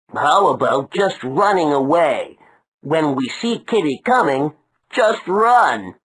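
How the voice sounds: A cartoonish character voice at a middle pitch moves at a fairly slow pace over a quiet background.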